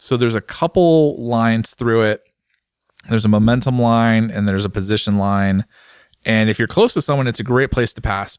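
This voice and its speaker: A man speaks with very even loudness. The recording is very clean, with a silent background. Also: medium pitch for a man, ordinary pitch variation, fairly quick pace. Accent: West Coast. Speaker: motorcycle podcast host. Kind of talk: casual chat.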